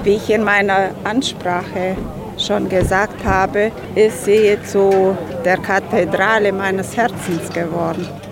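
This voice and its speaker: Speaking at a very slow pace, a woman keeps a monotone, flat intonation while audible room echo and noticeable background noise surround her. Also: medium pitch for a woman. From Romania, Banat (Banat Swabian village near Timișoara). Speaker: vice-chair of an expatriate association. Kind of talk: formal welcome speech; interview. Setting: church.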